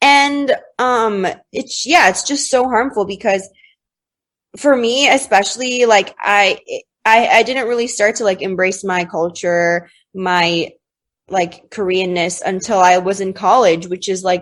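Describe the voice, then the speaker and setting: Against a quiet background, a woman with a normal speaking voice and an American accent talks at a fairly slow pace, her medium pitch varying in an ordinary way. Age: 20s. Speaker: podcast guest. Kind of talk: casual chat.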